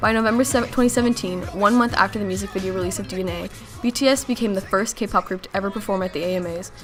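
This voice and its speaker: A woman's medium-pitched voice at a very fast pace, with fairly even intonation, against noticeable background noise. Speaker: student. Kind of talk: documentary-style narration. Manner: some stumbles, read in one take.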